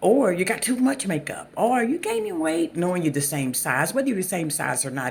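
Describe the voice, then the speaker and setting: A woman speaks at a moderate pace in a Southern US accent. Her pitch swings very widely. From US South. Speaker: channel host talking about narcissistic abuse. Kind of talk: casual monologue. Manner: halting, many fillers.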